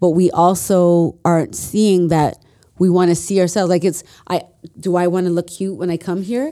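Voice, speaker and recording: A woman speaks with a Toronto accent at a fairly low pitch. Her tone is dark and mellow, and her intonation is fairly even. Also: moderate pace. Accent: Canadian (Toronto area). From Mississauga, Ontario, Canada. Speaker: social entrepreneur and podcast host. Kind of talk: casual chat.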